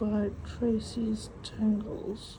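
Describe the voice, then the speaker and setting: A woman speaks at a fairly high pitch. Her tone is dark and mellow, and somewhat breathy. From South Africa. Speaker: craft video creator. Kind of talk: casual talk to camera while drawing. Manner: halting with stuttered vowels and W words.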